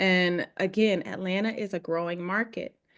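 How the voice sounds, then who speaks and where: The speech moves at a fairly slow pace. It carries a strong Southern US accent. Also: woman. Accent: heavy Southern US. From US South, Georgia. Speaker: real estate agent. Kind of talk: webinar presentation. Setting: video call. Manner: halting.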